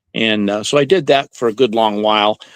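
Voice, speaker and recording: A normal speaking voice moves at a moderate pace with ordinary pitch variation, recorded dry and close with no echo against a quiet background. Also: man. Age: 60s. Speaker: ice cream truck driver. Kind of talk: interview.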